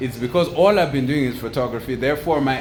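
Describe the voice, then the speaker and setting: Over noticeable background noise and audible room echo, a man speaks at a medium pitch with ordinary pitch variation. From Zimbabwe. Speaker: photographer and entrepreneur. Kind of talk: motivational monologue. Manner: talkative, casual with fillers.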